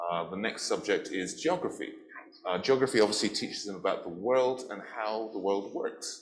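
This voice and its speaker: A man with an English accent at a moderate pace. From England. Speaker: teacher. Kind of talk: interview.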